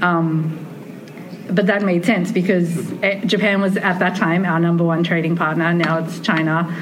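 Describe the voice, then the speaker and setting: Amid noticeable background noise and audible room echo, a woman with a fairly low pitch talks in a monotone with flat intonation. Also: moderate pace. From Australia, Sydney. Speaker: tea ceremony researcher. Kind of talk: casual conversation. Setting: conference.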